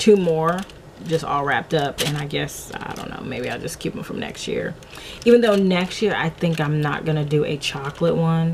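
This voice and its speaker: Against noticeable background noise, a woman with a fairly low voice talks at a moderate pace, with ordinary pitch variation and big swings in loudness. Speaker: vlogger. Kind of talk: casual vlog chat.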